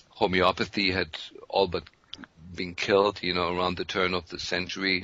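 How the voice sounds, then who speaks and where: This man's very deep, low voice carries a German accent. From Germany. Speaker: physician. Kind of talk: interview.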